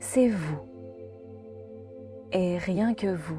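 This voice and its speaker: Music plays behind a woman's voice. She speaks very slowly in a calm tone. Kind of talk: guided meditation. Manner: slow, calm.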